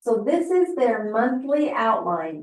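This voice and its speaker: A woman speaks with lively intonation. Some room echo can be heard. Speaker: family history presenter. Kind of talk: presentation.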